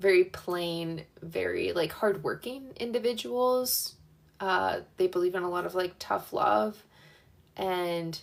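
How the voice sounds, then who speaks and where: Her pace is very slow. This woman's intonation rises and falls in a lively way. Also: medium pitch for a woman. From central Pennsylvania (York), moved to Florida at 13. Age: 20s. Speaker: livestreamer. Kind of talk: casual livestream chat. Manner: casual, filler-heavy.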